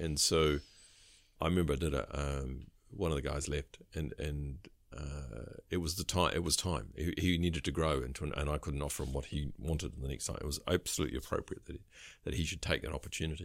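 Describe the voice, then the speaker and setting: Delivered fairly quickly in a New Zealand accent, the speech has vocal fry and fairly even intonation. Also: man, very deep, low pitch for a man. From New Zealand, New Plymouth, Taranaki. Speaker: recruitment firm director. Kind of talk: casual interview.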